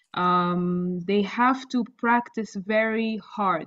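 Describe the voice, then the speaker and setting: Her medium-pitched voice, with an Arabic accent, shows ordinary pitch variation as this woman speaks. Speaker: doctor who passed OET exam. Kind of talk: interview.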